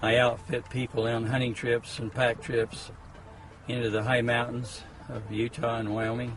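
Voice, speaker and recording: The speech runs in a monotone, flat intonation against noticeable background noise. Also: man, medium pitch for a man, moderate pace. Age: 70s. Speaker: hunting outfitter. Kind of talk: testimonial.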